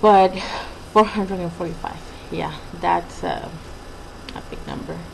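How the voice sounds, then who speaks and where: The woman's loudness swings widely. Background noise is noticeable throughout. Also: moderate pace. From Mexico. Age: 20s. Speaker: vlogger. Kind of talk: personal video diary. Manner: halting, many fillers.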